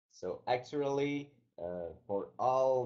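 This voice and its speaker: A man talks with a French-Canadian accent. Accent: French-Canadian, non-native English. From Quebec, Canada. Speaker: company founder. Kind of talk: webinar presentation. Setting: online webinar. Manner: halting.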